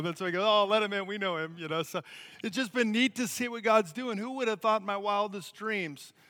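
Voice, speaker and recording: The voice is bright and sharp in tone, raised and projected. It moves at a very fast pace. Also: man. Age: 40s. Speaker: missionary. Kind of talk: sermon.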